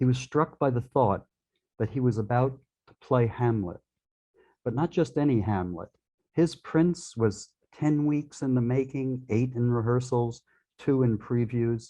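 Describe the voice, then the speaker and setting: A man with a New York accent and a dark, mellow tone, fairly slow with long, frequent pauses, very even loudness, and a quiet background. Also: medium pitch for a man, ordinary pitch variation. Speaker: poet. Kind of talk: reading aloud.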